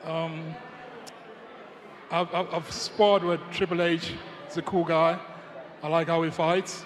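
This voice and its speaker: Over noticeable background noise, a man with a high pitch speaks at a fairly slow pace and with fairly even intonation. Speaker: heavyweight MMA fighter. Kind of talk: press conference answers.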